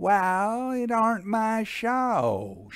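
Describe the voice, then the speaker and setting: A man drawls in a put-on character voice. His pitch is high, with fairly even intonation. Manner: drawling, unbothered.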